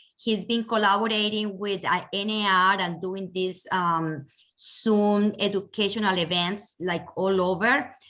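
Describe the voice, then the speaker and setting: A woman with a Colombian accent speaks at a medium pitch in a bright, sharp tone with fairly even intonation. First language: Spanish. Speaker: real estate agent, event chair. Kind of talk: webinar introduction. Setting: video call.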